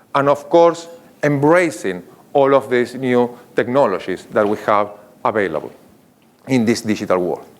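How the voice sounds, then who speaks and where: With an Argentinian accent and medium pitch, a man speaks at a moderate pace with lively intonation and long, frequent pauses. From Argentina. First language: Spanish. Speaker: marketing executive. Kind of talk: conference keynote.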